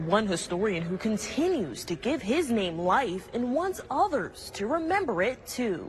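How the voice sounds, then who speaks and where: Over noticeable background noise, a woman with an American accent speaks at a fairly slow pace with hardly any pauses. Her fairly high pitch swings very widely. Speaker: TV news reporter. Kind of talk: TV news reporting, live and packaged stories. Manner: clear, professional, measured.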